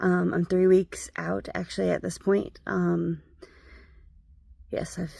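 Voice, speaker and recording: A woman is speaking. Her pace is fairly slow. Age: 30s. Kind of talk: casual talk to camera. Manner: casual, conversational.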